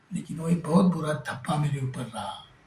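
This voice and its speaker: This man speaks in a Marathi accent. His pitch varies in an ordinary way. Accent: Marathi-accented Hindi. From Maharashtra. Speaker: folk singer. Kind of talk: interview. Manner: halting.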